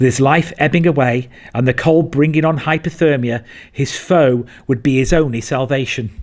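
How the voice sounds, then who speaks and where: An ordinary speaking voice moves at a moderate pace with very even loudness and ordinary pitch variation. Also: man, fairly high pitch for a man. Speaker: military survival instructor. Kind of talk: documentary narration.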